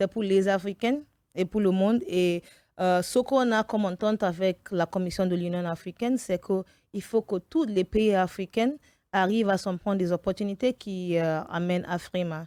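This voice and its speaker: A woman's dark, mellow voice at medium pitch, moderate pace and ordinary pitch variation, with a dry, close sound, no echo, and a very clean recording over a silent background. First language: English (speaking French). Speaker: event producer. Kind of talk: radio interview. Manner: halting, with fillers.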